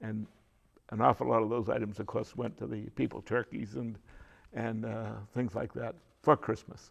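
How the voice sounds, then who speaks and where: A man's medium-pitched voice with an American accent, vocal fry and long, frequent pauses. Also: ordinary pitch variation, moderate pace. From Beverly, Massachusetts, New England. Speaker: local elder interviewee. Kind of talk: oral history interview. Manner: halting, many fillers.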